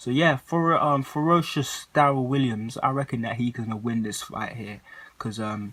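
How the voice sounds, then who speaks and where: A man talks with a London accent. His pitch varies in an ordinary way. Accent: London, multicultural London English. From southeast London. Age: 20s. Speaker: boxing YouTuber and amateur boxer. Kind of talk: casual vlog commentary. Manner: hesitant, many fillers.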